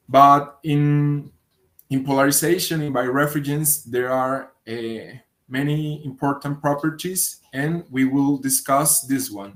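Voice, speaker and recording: A man with a Spanish accent, speaking very slowly with fairly even intonation. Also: fairly high pitch for a man. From Colombia. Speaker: physics researcher. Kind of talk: conference talk. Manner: hesitant, with fillers and repetitions.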